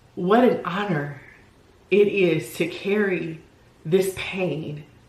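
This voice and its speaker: Noticeable background noise and audible room echo around fairly even intonation. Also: woman. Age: 40s. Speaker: lifestyle vlogger and solo entrepreneur. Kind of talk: personal vlog monologue. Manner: casual, halting.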